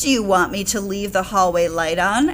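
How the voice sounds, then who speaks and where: Over clear background noise, a woman puts on a character voice at a medium pitch and a moderate pace. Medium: read story.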